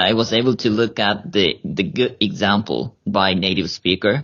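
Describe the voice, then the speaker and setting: A man with a Japanese accent at a very slow pace. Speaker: high school English teacher and graduate student. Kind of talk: casual interview chat. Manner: halting, many fillers.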